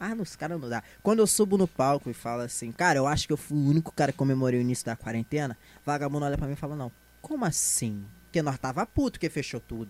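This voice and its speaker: A man speaks at a very fast pace. His pitch is fairly high and his intonation is lively. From Brazil, Rio de Janeiro (São João de Meriti, Baixada). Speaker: stand-up comedian. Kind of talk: casual chat. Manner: animated.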